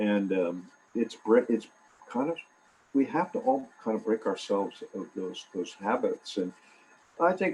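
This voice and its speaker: A man is speaking here. His pace is fairly slow. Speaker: professor. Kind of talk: public talk. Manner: loud; halting, with repetitions.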